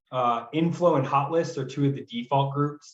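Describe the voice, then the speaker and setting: A man speaks in a somewhat breathy voice with a fairly high pitch. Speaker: software trainer for real estate agents. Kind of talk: tutorial. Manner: fast; casual.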